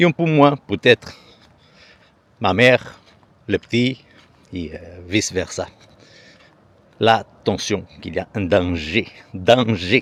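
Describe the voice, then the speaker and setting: Very slow, relaxed speech from a man with a strong Portuguese accent, fairly low in pitch, with lively intonation, big swings in loudness, long, frequent pauses and a dry, close sound with no echo. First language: Portuguese (speaking French). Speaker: vlogger. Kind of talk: casual vlog talk to camera. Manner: relaxed, conversational.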